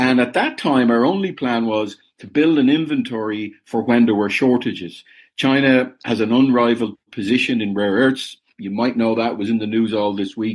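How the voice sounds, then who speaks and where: A man speaks with an Irish accent at a moderate pace. The background is quiet. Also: medium pitch for a man, ordinary pitch variation. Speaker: business founder. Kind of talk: interview.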